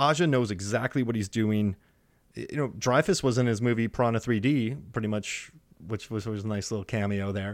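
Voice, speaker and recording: A man with an American accent and a normal speaking voice, medium pitch, fairly quick pace, on a very clean recording with a silent background. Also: ordinary pitch variation. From Wisconsin, US Midwest. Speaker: film podcaster, shark movie expert. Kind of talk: casual chat.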